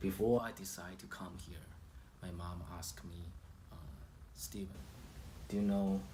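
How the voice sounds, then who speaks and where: A man with a Chinese accent speaks fairly slowly in a very deep, low pitch, his tone dark and mellow with vocal fry. Audible room echo surrounds his voice. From China. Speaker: immigrant sharing personal story. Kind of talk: personal testimony. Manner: halting, with fillers.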